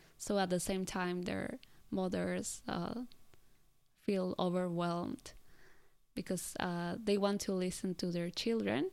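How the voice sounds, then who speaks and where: Speaking with a Spanish accent at a fairly slow pace, the voice has ordinary pitch variation and long, frequent pauses, captured in a very clean recording with a silent background. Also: woman, medium pitch for a woman. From Colombia. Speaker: podcast host, former assistant language teacher. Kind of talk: interview.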